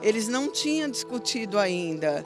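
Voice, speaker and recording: A dry sound with no echo and clear music in the background. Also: woman. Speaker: patient's wife. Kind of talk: interview answer. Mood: worried, earnest. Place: street. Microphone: handheld.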